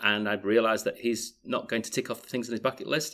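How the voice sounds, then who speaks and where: A strong Yorkshire accent with fairly even intonation, on a very clean recording with a silent background. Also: man. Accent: Yorkshire accent, still strong. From Yorkshire, northern England. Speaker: author and business advisor. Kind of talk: interview.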